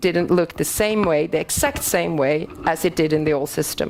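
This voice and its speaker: A woman's fairly low voice with a Swedish accent and ordinary pitch variation. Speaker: BIM consultant. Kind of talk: conference presentation. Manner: halting.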